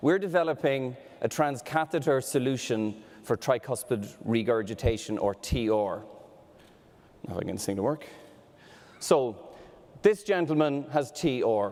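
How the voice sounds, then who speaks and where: A man with an Irish accent speaks at a moderate pace and medium pitch, his intonation lively and his pauses long and frequent. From Ireland. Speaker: medtech startup executive. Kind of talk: startup pitch presentation.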